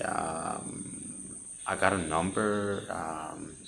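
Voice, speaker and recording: Audible room echo carries a man's very deep, low voice with fairly even intonation. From Denmark. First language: Danish. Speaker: spiritual content creator. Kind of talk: personal testimony. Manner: halting.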